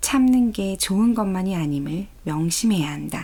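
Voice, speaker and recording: A woman speaks at a very slow pace in a medium pitch, with a calm tone and lively intonation. Her voice is dark, mellow and somewhat breathy. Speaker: audiobook reader. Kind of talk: audiobook reading of a self-help book. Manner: calm, soft-spoken.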